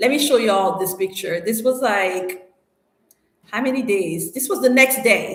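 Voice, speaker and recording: An animated woman speaks at a fairly high pitch with ordinary pitch variation. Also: fairly slow pace. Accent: non-native. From Cameroon, Douala. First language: French. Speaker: YouTuber on relocation and investing in Africa.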